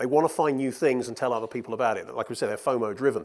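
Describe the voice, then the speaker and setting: A man with a British accent speaks at a medium pitch with ordinary pitch variation, in a very clean recording with a silent background. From Britain. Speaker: media research executive. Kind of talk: conference keynote Q&A. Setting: stage with audience. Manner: animated.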